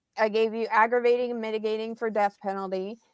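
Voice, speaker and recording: The speaker has an American accent and fairly even intonation. The sound is dry and close, with no echo. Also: woman. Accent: central Ohio with a touch of the South. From central Ohio. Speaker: private investigator. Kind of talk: livestream chat. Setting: livestream.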